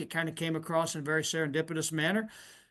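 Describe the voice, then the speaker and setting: A man speaks with a Southern Indiana accent. His pitch is high. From US Midwest, southern Indiana. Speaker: podcast host. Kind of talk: interview.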